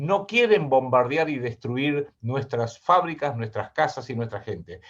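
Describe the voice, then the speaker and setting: A man with a Rioplatense accent, at a fairly slow pace, his pitch swinging very widely. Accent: Argentine Spanish (rioplatense, voseo). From Argentina. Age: 60s. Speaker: geopolitical analyst and writer. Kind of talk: interview.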